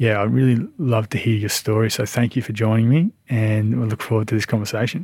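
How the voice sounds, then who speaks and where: A man with an Australian accent talks at a fairly quick pace in a medium pitch, with fairly even intonation and hardly any pauses. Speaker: podcast host. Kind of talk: interview chat.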